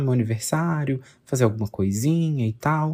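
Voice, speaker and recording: Quiet and somewhat breathy, a man's medium-pitched voice with a dark, mellow tone moves at a moderate pace on a very clean recording with a silent background. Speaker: podcast host. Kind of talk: casual monologue. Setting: bedroom at home, late night.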